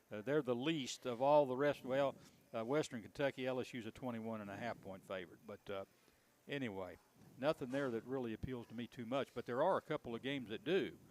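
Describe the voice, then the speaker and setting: A man talks at a very fast pace, his pitch medium with ordinary variation. The sound is dry and close, with no echo. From Indiana. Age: 70s. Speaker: sports radio host. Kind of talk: casual sports talk. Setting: live broadcast from a tavern.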